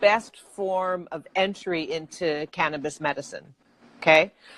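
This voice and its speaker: A woman with an American accent speaks at a very slow pace in a medium pitch. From Texas. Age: 50s. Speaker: cannabis entrepreneur. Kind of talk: interview. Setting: video call.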